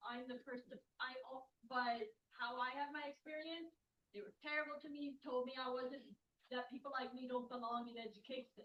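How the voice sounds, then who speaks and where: A woman speaks loudly in a high voice with fairly even intonation. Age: 30s. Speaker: audience member, student. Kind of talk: audience question.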